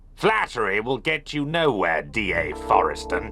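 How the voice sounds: A man does a cartoonish character voice at a moderate pace. Clear music plays behind him.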